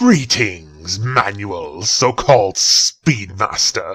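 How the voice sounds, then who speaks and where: At a very slow pace, a man talks in a put-on character voice with a medium pitch. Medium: audio drama. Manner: cold and menacing.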